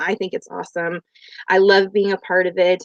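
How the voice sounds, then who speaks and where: At a moderate pace, a woman with a medium pitch speaks in a normal speaking voice, the sound dry and close with no echo. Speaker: behavior health professional and parent coach. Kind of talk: live stream talk. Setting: live video stream.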